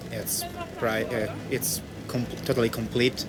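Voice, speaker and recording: Over noticeable background noise, a man with a non-native accent speaks at a medium pitch and a fairly slow pace. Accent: non-native English speaker. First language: Italian. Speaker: passer-by interviewed on street. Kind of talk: street conversation about veganism. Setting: outdoors in front of library. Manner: halting, searching for words.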